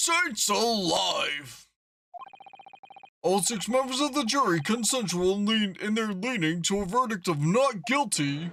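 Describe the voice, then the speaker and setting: Using a put-on character voice at a high pitch, a man speaks at a fairly slow pace. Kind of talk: Victorian courtroom melodrama. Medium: game stream. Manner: effusive, theatrical.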